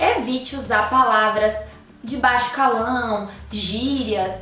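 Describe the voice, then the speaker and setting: In a recording with audible room echo and noticeable background noise, a woman speaks at a high pitch. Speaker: YouTuber giving tips to lawyers. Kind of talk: tutorial.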